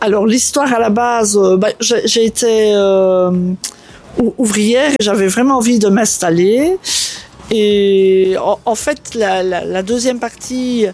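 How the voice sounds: A woman speaks at a fairly slow pace, her medium pitch and slightly mellow tone carrying ordinary pitch variation.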